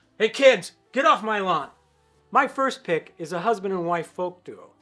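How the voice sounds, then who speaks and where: A man with lively intonation over background music. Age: 60s. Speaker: musician and YouTuber. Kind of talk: casual video monologue.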